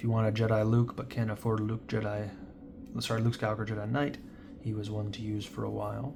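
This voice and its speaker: His delivery is very fast, somewhat breathy and fairly even in intonation. The man's pitch is fairly low. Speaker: trading card collector and seller. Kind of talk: casual pack-opening commentary. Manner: raised voice over noise.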